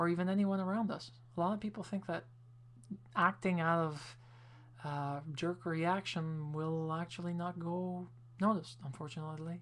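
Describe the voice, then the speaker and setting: A woman with a Quebec accent speaks at a moderate pace in a fairly low pitch. Her pitch variation is ordinary, and she takes long, frequent pauses. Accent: French Canadian accent in English. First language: French. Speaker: video blogger. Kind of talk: casual video response monologue.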